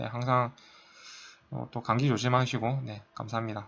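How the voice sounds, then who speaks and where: A man at a medium pitch speaks with a bright, sharp tone and fairly even intonation. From South Korea. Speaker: math tutor, undergraduate student. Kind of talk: tutorial. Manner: casual, with many fillers.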